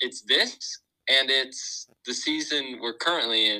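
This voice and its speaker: A man with a medium pitch speaks at a fairly slow pace in an American accent. His tone is bright and sharp. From Southern California, Huntington Beach. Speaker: college student, podcast co-host. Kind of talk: casual chat.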